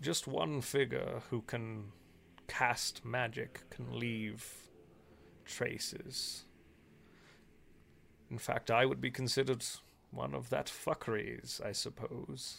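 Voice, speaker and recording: A put-on character voice from a man, gravelly and medium-pitched, at a fairly slow pace with long, frequent pauses. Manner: solemn, ominous.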